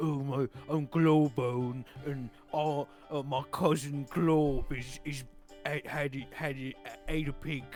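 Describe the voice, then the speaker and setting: In a put-on character voice pitched fairly high, a man speaks at a fairly slow pace over clear background music. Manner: goofy, stumbling.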